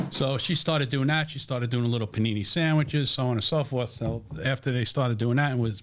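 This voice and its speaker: Talking very fast, a man speaks in a New York accent. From New York, Brooklyn (Williamsburg). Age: 60s. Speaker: restaurant family member and food company salesman. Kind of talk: casual interview chat.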